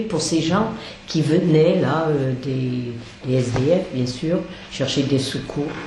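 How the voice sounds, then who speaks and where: A woman talks at a very slow pace, with audible room echo and noticeable background noise around her. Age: 70s. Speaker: charity volunteer cook. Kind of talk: interview. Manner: halting.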